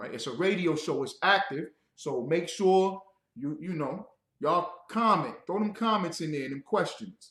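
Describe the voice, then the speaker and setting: With lively intonation and big swings in loudness, a man speaks at a high pitch and a moderate pace. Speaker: religious radio show host. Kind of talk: religious teaching broadcast. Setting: livestream. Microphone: bad reverb.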